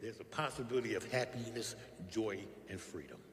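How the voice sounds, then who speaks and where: Noticeable background noise sits behind this man's voice. He speaks at a medium pitch with ordinary pitch variation. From West Philadelphia. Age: 60s. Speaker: recovery speaker. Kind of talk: testimony.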